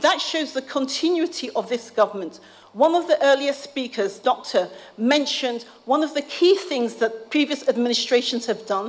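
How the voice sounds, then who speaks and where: A woman speaks with a high pitch and ordinary pitch variation. Noticeable background noise runs behind her. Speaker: policy advisor and academic speaker. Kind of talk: conference speech. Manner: fast.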